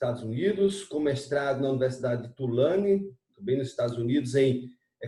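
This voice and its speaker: Speaking at a fairly slow pace, a man with a fairly high pitch sounds somewhat breathy, with ordinary pitch variation. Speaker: interviewer, channel host. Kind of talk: interview.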